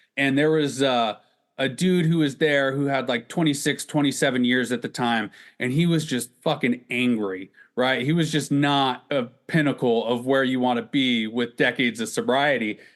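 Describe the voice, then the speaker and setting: In a plain, everyday voice, a man speaks at medium pitch and a moderate pace, with very even loudness and fairly even intonation. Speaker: podcast host. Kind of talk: casual conversational podcast talk.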